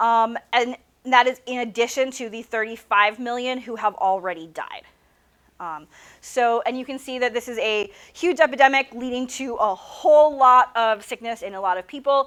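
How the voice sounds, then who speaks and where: A high-pitched woman with big swings in loudness, on a very clean recording with a silent background. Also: ordinary pitch variation. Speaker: biology professor. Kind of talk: lecture. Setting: classroom with students. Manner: fast.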